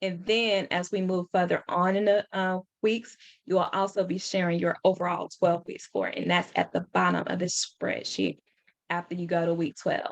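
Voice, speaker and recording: In a medium pitch, a woman talks with monotone, flat intonation. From Louisiana. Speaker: real estate coach. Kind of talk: tutorial. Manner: fast.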